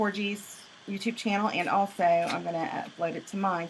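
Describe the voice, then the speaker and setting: There is noticeable background noise. Through it, a woman speaks with a Southern US accent. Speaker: craft instructor. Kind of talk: tutorial. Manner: fast.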